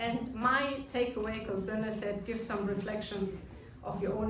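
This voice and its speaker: A woman with a German accent speaks at a fairly slow pace and fairly high pitch, her intonation fairly even, amid noticeable background noise and audible room echo. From Germany. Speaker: business leader. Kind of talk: speech. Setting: reception hall with audience. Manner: hesitant.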